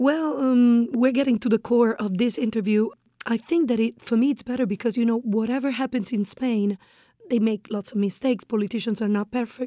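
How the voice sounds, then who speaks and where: A woman with an Italian accent speaks at a fairly quick pace and a fairly high pitch, her tone dark and mellow. The sound is dry and close, with no echo. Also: ordinary pitch variation. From northeast Italy. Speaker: expat guest. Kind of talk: interview.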